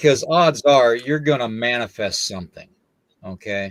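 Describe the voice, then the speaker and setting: Here a man speaks at a moderate pace with lively intonation. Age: 60s. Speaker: paranormal podcast host. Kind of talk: casual chat.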